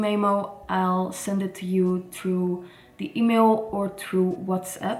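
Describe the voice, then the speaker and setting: This woman has a medium pitch and fairly even intonation. She talks at a fairly slow pace. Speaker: tarot reader. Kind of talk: casual vlog talk. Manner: halting, some false starts.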